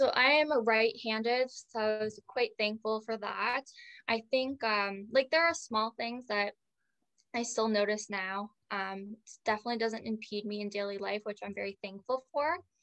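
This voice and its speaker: A woman's ordinary speaking voice in a Canadian accent, fairly high in pitch, with ordinary pitch variation and a moderate pace, dry and close with no echo over a quiet background. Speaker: stroke survivor. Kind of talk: interview.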